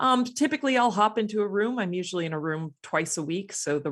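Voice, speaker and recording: A woman speaks with an American accent in an ordinary speaking voice, at a moderate pace with ordinary pitch variation. The recording is very clean, with a silent background. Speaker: astrophysicist and science consultant. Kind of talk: interview conversation.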